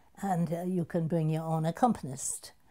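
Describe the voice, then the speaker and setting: A woman speaks in a very deep, low pitch with a dark, mellow tone. Her voice is somewhat breathy. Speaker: opera singer, soprano. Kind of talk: interview answer.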